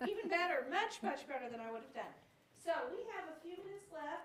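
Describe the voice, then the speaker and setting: A woman's fairly quick speech with lively intonation and audible room echo. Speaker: professor and event moderator. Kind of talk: moderating a Q&A. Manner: loud.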